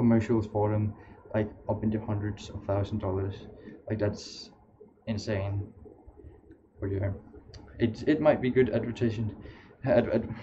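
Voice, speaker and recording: Somewhat breathy and with a non-native accent, the speaker keeps a moderate pace and a monotone, flat intonation. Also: man. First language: not English. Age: young. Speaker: streamer. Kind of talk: casual chat. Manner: halting.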